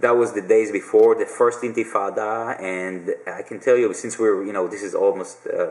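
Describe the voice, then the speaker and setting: Over noticeable background noise, a man talks at a moderate pace with hardly any pauses and big swings in loudness. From Israel. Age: 40s. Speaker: video blogger. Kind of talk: casual Q&A monologue. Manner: hesitant, many fillers.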